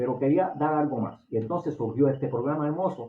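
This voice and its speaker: His pitch is fairly high. The man shows ordinary pitch variation. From Puerto Rico. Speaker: lay preacher, religious online show host. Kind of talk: sermon. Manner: naturally fast talker.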